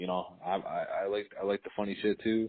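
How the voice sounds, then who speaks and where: This man has a Wisconsin accent. His pitch is fairly low. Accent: Upper Midwest (Wisconsin) American. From Racine, Wisconsin. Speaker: podcast co-host. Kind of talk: casual chat.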